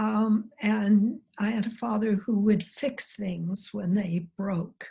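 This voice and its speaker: A woman speaks in an American accent at a very slow pace, her pitch medium and her intonation fairly even. The tone is dark and mellow, somewhat breathy. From US Midwest, Missouri Ozarks. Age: 70s. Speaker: biologist, professor emerita. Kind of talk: interview.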